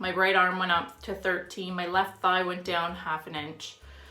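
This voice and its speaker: Audible room echo fills the space as a woman talks. Her pitch is medium and her pace fairly slow. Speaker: fitness vlogger. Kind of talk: casual vlog monologue.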